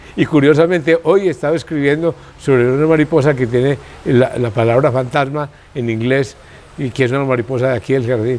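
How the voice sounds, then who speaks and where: Against noticeable background noise, a man with a medium pitch talks at a fairly quick pace with ordinary pitch variation. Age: 70s. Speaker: botanical garden founder. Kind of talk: interview. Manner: halting.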